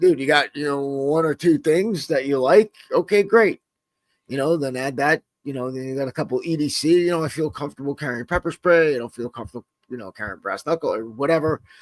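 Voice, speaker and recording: In a very clean recording with a silent background, a man with a fairly high pitch talks at a fairly quick pace, using ordinary pitch variation and big swings in loudness. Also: dry, close sound with no echo. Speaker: self-defense instructor and podcast host. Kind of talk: casual podcast chat. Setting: live-streamed podcast. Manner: casual, halting with many fillers.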